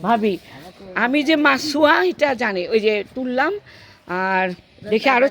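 A woman speaks with lively intonation while noticeable background noise goes on around her. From Bangladesh, Gaibandha. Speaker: vlogger. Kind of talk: casual vlog chat. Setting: outdoors by a pond. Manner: animated.

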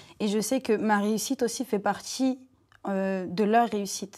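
A woman's fairly high voice, fairly slow and fairly even in intonation, over a quiet background. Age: 20s. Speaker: entrepreneur; guest. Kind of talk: panel discussion. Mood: calm, reflective. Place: studio.

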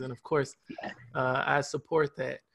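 A man with a plain, everyday voice speaks at a fairly high pitch and a moderate pace, keeping his intonation fairly even. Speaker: real estate broker; guest. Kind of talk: webinar presentation. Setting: video call. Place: home room. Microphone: video call.

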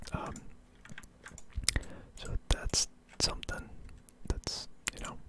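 Whispering, a man speaks at a very slow pace. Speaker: ASMR gaming content creator. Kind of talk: casual ASMR gameplay ramble. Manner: whispered, soft-spoken. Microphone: studio mic.

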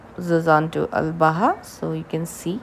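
Over light background noise, a woman speaks at a fairly low pitch and a very slow pace. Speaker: travel vlogger. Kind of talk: casual vlog narration.

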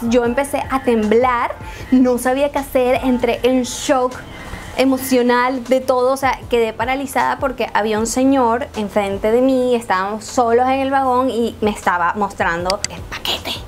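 A woman's high, fairly even voice in a Venezuelan accent, at a fairly slow pace over light background noise. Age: 20s. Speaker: YouTuber. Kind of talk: story time talk to camera. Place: home room.

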